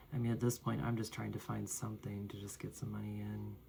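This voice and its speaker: A man speaks quietly at a moderate pace. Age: adult. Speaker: vlogger. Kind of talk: personal vlog monologue. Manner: quiet, low-spoken; halting, with fillers.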